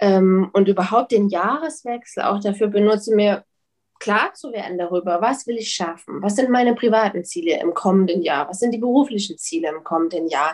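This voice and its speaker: A woman's medium-pitched voice at a moderate pace, with lively intonation and an ordinary speaking voice. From Leipzig, Saxony, Germany. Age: 30s. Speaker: publisher. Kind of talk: interview.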